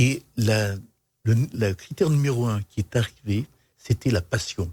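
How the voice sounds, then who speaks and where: A man speaks at a medium pitch in a somewhat breathy voice with a dark, mellow tone, recorded with a dry, close sound and no echo. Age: 60s. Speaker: business leader. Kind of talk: interview.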